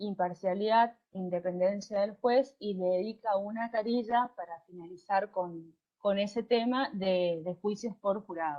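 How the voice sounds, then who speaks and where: At a fairly slow pace and with hardly any pauses, a woman speaks with a medium pitch and ordinary pitch variation. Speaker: law lecturer. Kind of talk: online university lecture. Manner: hesitant with fillers and repetitions.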